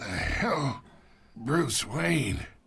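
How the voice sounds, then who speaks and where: Using a put-on character voice, a man sounds raspy, speaking at medium pitch with very wide pitch swings. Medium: machinima. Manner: smug, condescending.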